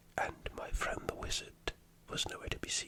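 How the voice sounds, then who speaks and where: The speaker is whispering. Noticeable background noise is present. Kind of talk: ASMR role-play storytelling.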